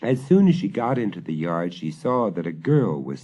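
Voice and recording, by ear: Someone reads out loud using a natural voice.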